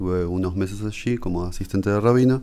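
At a moderate pace, the voice has a dark, mellow tone and ordinary pitch variation. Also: man. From Uruguay, Montevideo. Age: 40s. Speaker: rabbi. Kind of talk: interview.

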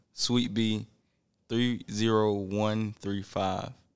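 Monotone, flat delivery with a Southern US accent on a very clean recording with a silent background. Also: man. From US South. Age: young. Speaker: sneaker store worker. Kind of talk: casual chat.

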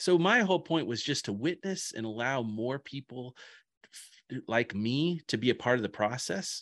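A plain, everyday voice speaks with an American accent and lively intonation at a moderate pace. The sound is dry and close, with no echo. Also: man, medium pitch for a man. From rural Indiana. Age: 40s. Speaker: pastor. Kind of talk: casual chat. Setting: home office.

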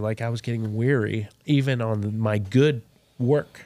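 With an American accent and an ordinary speaking voice, a man talks at a fairly low pitch with fairly even intonation, on a very clean recording with a silent background. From Texas. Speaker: pitmaster and restaurant owner. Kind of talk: interview, faith testimony.

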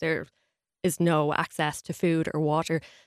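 In an Irish accent, the speaker comes through a very clean recording with a silent background and a dry, close sound with no echo. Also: woman. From Ireland. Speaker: journalist. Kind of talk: radio interview.

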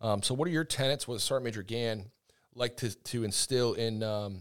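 Very cleanly recorded over a silent background, a man with an American accent speaks at a medium pitch and fairly quick pace with ordinary pitch variation, in a plain, everyday voice. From US Northeast. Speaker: podcast co-host, army public affairs sergeant. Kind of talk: interview. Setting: studio.

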